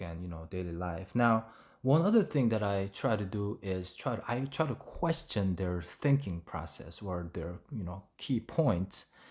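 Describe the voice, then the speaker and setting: The recording is very clean, with a silent background. A man speaks with lively intonation and hardly any pauses. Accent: Korean. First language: Korean. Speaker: English learning YouTuber. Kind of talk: tutorial. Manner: halting, with many fillers.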